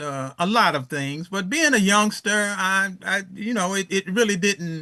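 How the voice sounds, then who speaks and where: Man's high, bright, sharp voice, raised and projected, with ordinary pitch variation over a quiet background. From Chicago South Side, US. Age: 70s. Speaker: elder teacher of African history. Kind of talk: interview. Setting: podcast. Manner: halting, many fillers.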